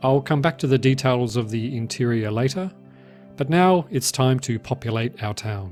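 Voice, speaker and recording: Music plays behind the speaker. A man talks at a moderate pace. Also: medium pitch for a man, ordinary pitch variation. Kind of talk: game base tour narration. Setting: voice over. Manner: soft-spoken.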